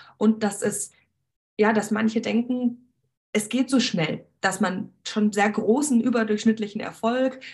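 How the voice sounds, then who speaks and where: Somewhat breathy and fairly high, a woman's voice moves at a fairly slow pace with fairly even intonation. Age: 20s. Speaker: beauty entrepreneur, former cosmetician. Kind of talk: interview.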